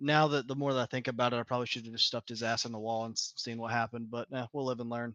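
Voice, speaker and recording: A man with a Southern US accent at a very fast pace, medium pitch and monotone, flat intonation, in a bright, sharp tone, with a dry, close sound with no echo over a quiet background. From US South, south Georgia. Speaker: sim racing driver. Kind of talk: post-race interview. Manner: casual, laid-back.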